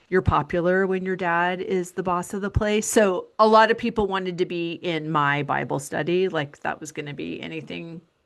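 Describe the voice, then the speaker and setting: A woman's plain, everyday voice, fairly low in pitch, with ordinary pitch variation, a moderate pace and a quiet background. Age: 50s. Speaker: podcast host. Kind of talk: interview.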